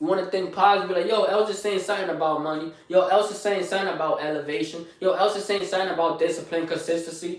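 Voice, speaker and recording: Talking at a very fast pace, a man with a high voice is heard through audible room echo and noticeable background noise. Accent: Bronx. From New York, the Bronx. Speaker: live streamer, fitness motivator. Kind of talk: motivational live stream talk. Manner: energetic, hyped.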